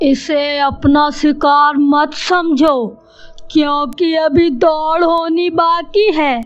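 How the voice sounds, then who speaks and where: Cackling at a very slow pace, the speaker performs a put-on character voice. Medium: cartoon. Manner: gloating, cackling.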